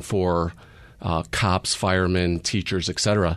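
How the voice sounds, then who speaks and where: A man with an American accent, a very deep, low pitch, monotone, flat intonation and a fairly slow pace, over a quiet background. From Chicago. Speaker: police sergeant. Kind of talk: radio interview.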